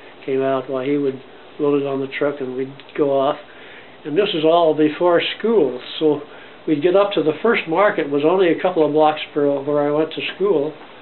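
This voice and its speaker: At a moderate pace, a man with a fairly high voice and ordinary pitch variation speaks over noticeable background noise. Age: 90s. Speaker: grandfather interviewed by grandson. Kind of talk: oral history interview. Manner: halting.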